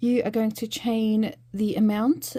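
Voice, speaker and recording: At a very slow pace, a woman speaks at a medium pitch. Her tone is dark and mellow, and somewhat breathy. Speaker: crochet tutor. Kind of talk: tutorial. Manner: hesitant with many fillers.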